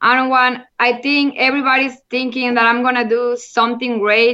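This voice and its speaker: A woman with a Mexican accent, high-pitched, fairly even in intonation, bright and sharp in tone, her voice raised and projected. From Monterrey, Mexico. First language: Spanish. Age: 30s. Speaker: football player. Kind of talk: interview chat. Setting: remote call from Mexico. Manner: halting, non-fluent English.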